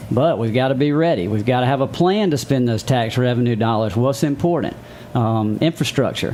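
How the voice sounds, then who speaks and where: With a Southern US accent, a man talks at a fairly quick pace in a medium pitch, his loudness very even and his pitch variation ordinary, as music plays in the background. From Mississippi (Meridian). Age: 40s. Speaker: city council candidate and realtor. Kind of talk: interview.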